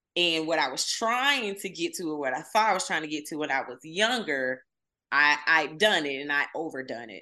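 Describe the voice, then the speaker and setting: Against a quiet background, the speaker talks with a Southern US accent at a moderate pace. The tone is bright, sharp and animated, with lively intonation. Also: woman, very deep, low pitch for a woman. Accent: Southern US (Georgia). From US South, southwest Georgia. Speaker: social media marketer and messaging coach. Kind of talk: casual interview.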